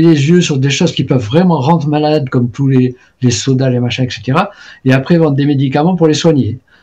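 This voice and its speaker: The man's voice is somewhat breathy, with a dark, mellow tone and a fairly high pitch. He talks at a moderate pace with fairly even intonation. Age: 70s. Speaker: traditional Chinese medicine practitioner and author. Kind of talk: interview conversation. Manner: hesitant, many fillers and repetitions.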